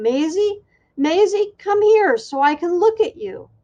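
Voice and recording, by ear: A woman puts on a character voice that is squeaky and shaky, at an extremely high pitch. Her intonation is lively and her pace fairly slow.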